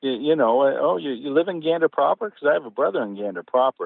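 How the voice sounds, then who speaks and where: A man with a fairly high pitch speaks at a very fast pace. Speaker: author. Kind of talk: interview. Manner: animated storytelling.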